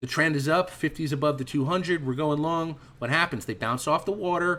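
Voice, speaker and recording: A man's fairly high, bright, sharp voice with ordinary pitch variation, at a fairly quick pace. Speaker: trading instructor. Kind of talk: online trading class. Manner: fast; animated.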